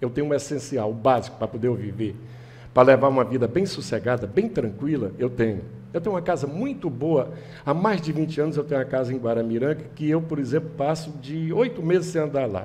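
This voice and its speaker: A man talks at a fairly quick pace with lively intonation and a fairly high pitch. His voice is somewhat breathy. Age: 70s. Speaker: political candidate. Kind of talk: interview.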